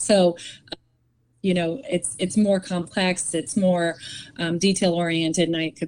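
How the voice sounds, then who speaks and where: A woman with an American accent speaks at a fairly slow pace with fairly even intonation. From Massachusetts, US (Andover). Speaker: image consultant and model. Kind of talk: podcast interview. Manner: halting.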